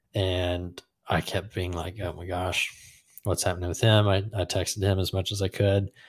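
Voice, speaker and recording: A man with a very deep, low pitch, a somewhat breathy sound and monotone, flat intonation. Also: very clean recording, silent background. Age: 20s. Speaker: podcast co-host. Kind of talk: casual chat.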